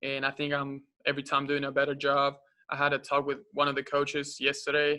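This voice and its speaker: With a Spanish accent, a man speaks at a fairly quick pace in a fairly high pitch and a monotone, flat intonation. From Uruguay. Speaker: college basketball player. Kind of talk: press conference interview. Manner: halting, many fillers.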